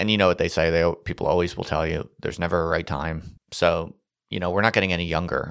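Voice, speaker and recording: At a very fast pace, a man with a very deep, low pitch talks in fairly even intonation over a very clean recording with a silent background. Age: 30s. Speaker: podcast host, former professor. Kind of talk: solo monologue podcast. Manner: casual, conversational.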